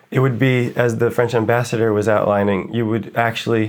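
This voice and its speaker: A man with an American accent and an ordinary speaking voice, medium in pitch, at a fairly quick pace with fairly even intonation, on a very clean recording with a silent background. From United States. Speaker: writer. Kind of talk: interview conversation.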